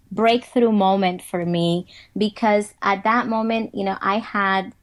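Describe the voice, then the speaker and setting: A woman with a Spanish accent speaks at a fairly high pitch with ordinary pitch variation. She talks fairly slowly against a quiet background. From Dominican Republic. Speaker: motivational speaker. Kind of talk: interview.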